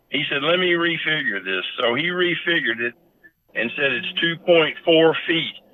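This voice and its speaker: At a moderate pace, a man speaks with a Kentucky accent. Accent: Kentucky Southern US. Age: 70s. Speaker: horse breeder and owner. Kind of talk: interview storytelling.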